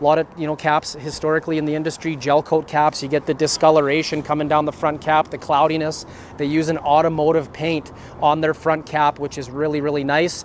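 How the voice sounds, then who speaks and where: A man talks at a fairly quick pace in a monotone, flat delivery. The sound is dry with no echo, and there is light background noise. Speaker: RV salesperson. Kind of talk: product walkaround presentation. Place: street. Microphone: phone near.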